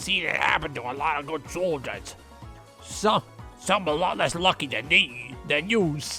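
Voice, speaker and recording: A man's gravelly, fairly high-pitched put-on character voice, with clear music in the background. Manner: rough, strained.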